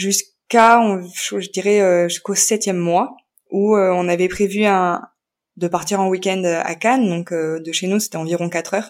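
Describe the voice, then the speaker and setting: Fairly slow and fairly even in intonation, a woman talks at medium pitch. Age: 30s. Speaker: young mother and podcaster. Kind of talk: testimony. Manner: halting, many hesitations.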